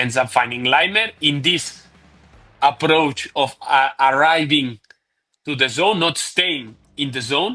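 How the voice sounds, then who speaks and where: With music in the background, a man with a non-native accent speaks at a very slow pace in a fairly high pitch, with ordinary pitch variation and long, frequent pauses. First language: not English. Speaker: football tactics analyst. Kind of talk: tactical video analysis. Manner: halting, many fillers and repeats.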